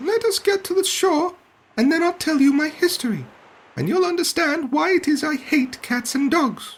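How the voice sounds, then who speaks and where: Shaky and at a moderate pace, the speaker uses a put-on character voice. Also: man, extremely high pitch for a man. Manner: passionate, upset.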